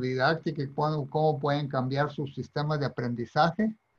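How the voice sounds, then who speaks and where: Somewhat breathy, this voice moves at a moderate pace with fairly even intonation. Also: man. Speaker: retired university president. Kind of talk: interview conversation.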